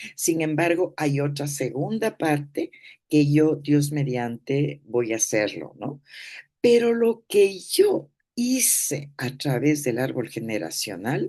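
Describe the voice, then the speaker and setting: Very deep, low female voice with a dark, mellow tone, very wide pitch swings and a very slow pace. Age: 80s+. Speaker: therapist. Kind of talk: talk.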